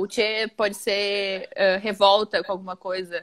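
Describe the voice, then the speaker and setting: In a very clean recording with a silent background, a woman with a southern Brazilian accent speaks at a medium pitch, the sound dry and close with no echo. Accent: gaúcho. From Rio Grande do Sul, Porto Alegre. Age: 20s. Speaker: writer. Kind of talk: casual chat. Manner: animated.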